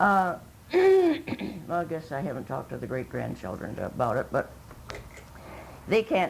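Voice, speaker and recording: Speaking at a fairly slow pace, this is a woman. She has an Upper Midwest accent. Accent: Upper Midwest American. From northern Michigan, US. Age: 90s. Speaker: oral history interviewee. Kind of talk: oral history interview. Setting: at a relative's home. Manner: halting.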